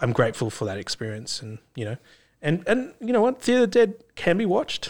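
The audio is very clean, and the background is silent. A man talks with an Australian accent. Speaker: podcast host and filmmaker. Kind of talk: casual interview chat. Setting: studio.

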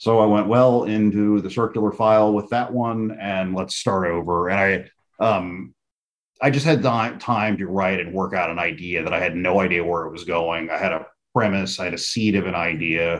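At a moderate pace, an unremarkable speaking voice with an American accent carries ordinary pitch variation. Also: man, fairly low pitch for a man. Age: 40s. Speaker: comic book writer. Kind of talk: casual interview.

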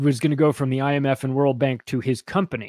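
A plain, everyday voice moves at a fairly quick pace, captured with a dry, close sound, no echo, and a very clean recording with a silent background. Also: man. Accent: American. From US West Coast (Palm Springs, California). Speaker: podcaster and author. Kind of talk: casual chat.

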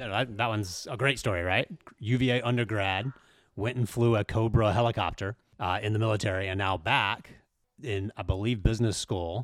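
Fairly quick and fairly even in intonation, a man talks with an unremarkable speaking voice at a fairly low pitch. The recording is very clean, with a silent background. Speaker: sports site editor. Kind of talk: casual chat.

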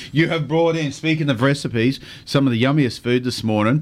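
Here a man talks with an Australian accent. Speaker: radio fishing show host. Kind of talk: casual chat.

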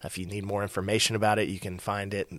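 In a very clean recording with a silent background, a man speaks with a Texan accent at a fairly low pitch. His pace is fairly quick and his intonation fairly even. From Texas, near Fort Worth. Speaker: church minister to married adults. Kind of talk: casual interview.

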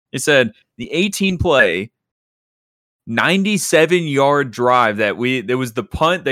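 In a very clean recording with a silent background, a man talks with lively intonation and a bright, sharp tone. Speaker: football podcast host. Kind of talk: heated sports debate, mock-indignant defense. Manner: animated, emphatic, sarcastic.

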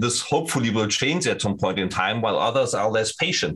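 Noticeable background noise sits behind a man speaking at a fairly quick pace and medium pitch. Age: 50s. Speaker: sales engineer at a security company. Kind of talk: interview. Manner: halting.

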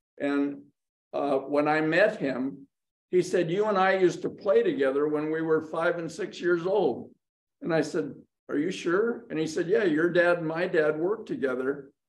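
A man's high-pitched voice at a moderate pace. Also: ordinary pitch variation. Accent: American. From US West, Hollywood California. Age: 90s. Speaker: cinematographer. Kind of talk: interview.

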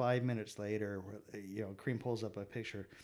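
Using a normal speaking voice, a man with an American accent talks at a moderate pace, his fairly low pitch varying in an ordinary way. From San Diego, California. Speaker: photographer. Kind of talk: casual chat.

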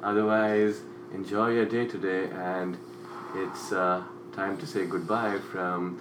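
A man speaking at a fairly slow pace amid noticeable background noise. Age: 20s. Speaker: podcast co-host. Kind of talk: casual chat.

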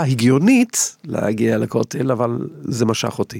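At a fairly slow pace, a man talks with an English accent. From England. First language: English (speaking Hebrew). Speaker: violinist. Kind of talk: interview. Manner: halting.

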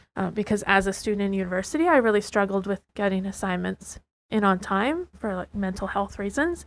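Speaking at a fairly quick pace, a woman has a Western Canadian accent and a medium pitch with ordinary variation. The recording is very clean with a silent background. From Lower Mainland, British Columbia. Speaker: student teacher. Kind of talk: prepared reflection.

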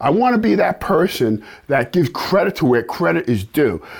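A man speaks at a moderate pace with an American accent. His tone is animated. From New York. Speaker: self-defense instructor. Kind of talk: instructional video.

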